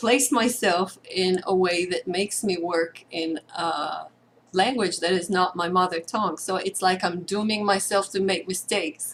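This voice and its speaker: A woman with an Israeli accent, at a medium pitch and a moderate pace. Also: fairly even intonation. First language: Hebrew. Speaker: participant. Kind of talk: sharing circle. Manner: halting.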